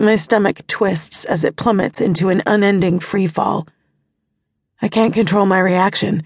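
A woman with an unremarkable speaking voice talks at medium pitch, with fairly even intonation and very even loudness, in a dry, close sound with no echo. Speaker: audiobook narrator. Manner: slows to a hushed, pained delivery, with a sneering smug tone for the villain's dialogue.

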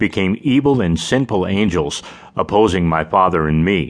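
A man's solemn, dramatic tone, very deep and low in pitch, at a moderate pace. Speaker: audiobook narrator. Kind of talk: dramatic audiobook narration, solemn first-person voice of Jesus in an interview format. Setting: studio. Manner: solemn, measured and reverent, with weighty emphasis on the dramatic lines.

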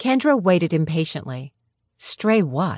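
Over a quiet background, a woman speaks in an animated tone at medium pitch, her voice swinging very widely. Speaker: audiobook narrator. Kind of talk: dramatic audiobook narration of a romance novel. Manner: animated, expressive, shifting between characters' voices; wry, playfully sarcastic tone in narration.

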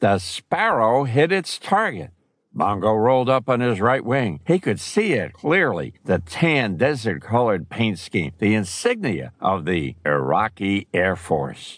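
A man's dramatic voice at a fairly low pitch, with vocal fry, very wide pitch swings and very even loudness. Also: fairly slow pace. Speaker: audiobook narrator. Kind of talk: audiobook narration of a combat scene. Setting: studio recording. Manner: tense, urgent, dramatic pacing building suspense.

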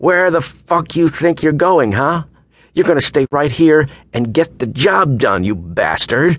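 A man puts on a character voice, pitched fairly high, with a fairly bright tone. He speaks at a fairly slow pace with lively intonation.

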